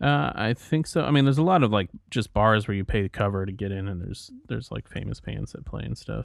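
A man's fairly low voice at a very fast pace, with lively intonation, hardly any pauses, and a very clean recording with a silent background. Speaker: podcast co-host.

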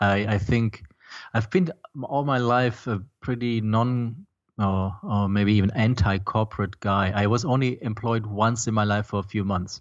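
A man with a German accent, fairly low pitch and fairly even intonation. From Germany. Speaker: film composer and startup founder. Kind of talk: interview.

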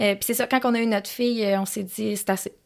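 This is a plain, everyday voice with ordinary pitch variation. The pace is moderate. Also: woman. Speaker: motocross track co-owner and coach. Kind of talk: casual chat. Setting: studio.

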